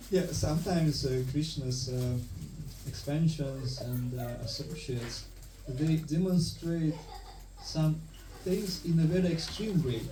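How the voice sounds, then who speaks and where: Speaking at a fairly slow pace with long, frequent pauses, a man with a fairly high pitch is heard amid audible room echo. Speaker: temple speaker. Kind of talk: religious lecture. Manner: monotone; halting.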